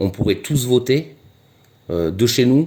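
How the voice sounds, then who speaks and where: A man's dark, mellow tone carries his words at a moderate pace. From southwest France (Gers). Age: 40s. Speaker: street interviewee. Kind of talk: street interview. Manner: halting, many hesitations and repetitions.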